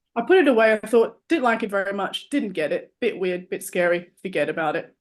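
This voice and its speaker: A woman with an Australian accent, fairly high pitch and lively intonation, at a fairly quick pace. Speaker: artist and musician. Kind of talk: casual interview chat.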